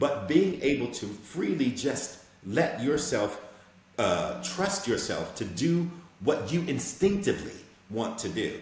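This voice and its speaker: With audible room echo, a man speaks at a fairly slow pace and fairly high pitch, making very wide pitch swings. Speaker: actor. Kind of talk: interview.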